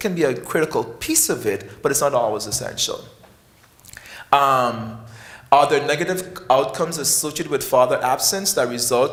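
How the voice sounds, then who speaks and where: A man with a West Indian accent speaks at a moderate pace in a fairly high pitch, his intonation lively and some room echo audible. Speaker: professor of psychiatry. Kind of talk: conference speech.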